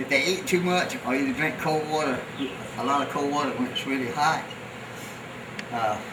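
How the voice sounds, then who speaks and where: Someone with a Southern US accent speaks at a moderate pace with ordinary pitch variation and long, frequent pauses. Audible room echo and noticeable background noise are present. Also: man, fairly high pitch for a man. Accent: Southern US (Georgia). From US South, Savannah, Georgia. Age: 70s. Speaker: farrier. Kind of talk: casual chat while working; documentary interview.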